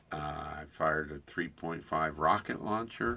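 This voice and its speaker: A man with an American accent speaks at a very deep, low pitch. His tone is bright and sharp. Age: 70s. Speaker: army veteran. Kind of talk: interview. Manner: halting.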